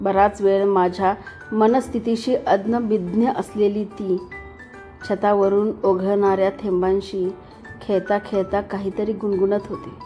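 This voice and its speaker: The speech comes in a flat monotone. Music plays behind it. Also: woman, medium pitch for a woman. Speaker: voice actor. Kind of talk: romantic first-person story reading. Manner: emotive.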